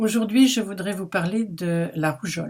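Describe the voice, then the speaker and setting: Somewhat breathy, a woman speaks at a fairly slow pace in a very clean recording with a silent background. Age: 70s. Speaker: anti-vaccine activist vlogger. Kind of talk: opinion monologue to camera.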